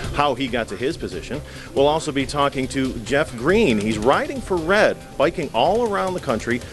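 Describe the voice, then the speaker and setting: Clear music can be heard in the background. Over it, a man speaks at a moderate pace. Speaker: TV show host. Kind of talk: broadcast show intro. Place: hall. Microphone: handheld.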